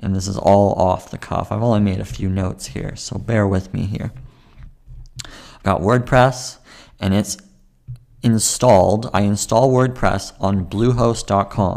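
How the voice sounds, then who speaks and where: An ordinary speaking voice from a man, fairly low in pitch, at a fairly slow pace, with fairly even intonation and big swings in loudness. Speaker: podcaster. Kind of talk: solo tutorial talk about podcasting. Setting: home recording with webcam and microphone. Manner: casual, conversational.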